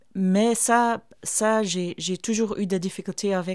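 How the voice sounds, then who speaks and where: A woman at a fairly slow pace with fairly even intonation, in a very clean recording with a silent background. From Flanders, Belgium. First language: Flemish dialect / Dutch (speaking French). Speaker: theatre artist and performer. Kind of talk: interview. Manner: halting.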